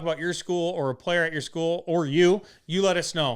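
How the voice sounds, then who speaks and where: A man's high voice in a Wisconsin accent, very fast, with ordinary pitch variation and a very clean recording over a silent background. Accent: Wisconsin Midwest. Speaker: podcast co-host. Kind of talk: casual chat.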